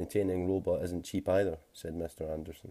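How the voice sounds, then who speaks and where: A man's very deep, low, dark and mellow voice, somewhat breathy, with a Scottish accent, fairly quick and monotone, in a very clean recording with a silent background. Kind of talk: short story reading. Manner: whispered; relaxing, soft-spoken.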